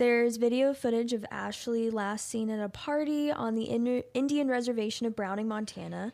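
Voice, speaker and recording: On a very clean recording with a silent background, a woman with an unremarkable speaking voice talks at a moderate pace and a fairly high pitch. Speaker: podcast co-host. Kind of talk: true crime podcast discussion.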